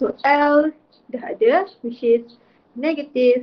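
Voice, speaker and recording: A woman with a Malaysian accent speaks at a very slow pace with ordinary pitch variation. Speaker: physics teacher. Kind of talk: lecture. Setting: online class. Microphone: video call.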